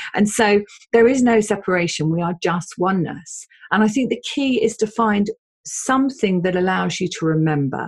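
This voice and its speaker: Somewhat breathy, a woman at medium pitch speaks at a moderate pace with lively intonation. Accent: English. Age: 50s. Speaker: spiritual medium and psychotherapist. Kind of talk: interview conversation.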